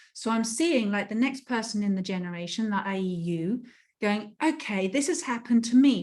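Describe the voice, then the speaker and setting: Somewhat breathy and medium-pitched, a woman talks at a fairly quick pace with ordinary pitch variation on a very clean recording with a silent background. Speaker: life coach. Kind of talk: interview conversation.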